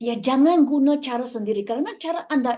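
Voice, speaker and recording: A woman speaks at a fairly quick pace with a high pitch and ordinary pitch variation. Her tone is dark and mellow. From Malaysia. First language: Chinese (speaking Indonesian). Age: young. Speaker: network marketing leader. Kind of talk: motivational speech. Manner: halting.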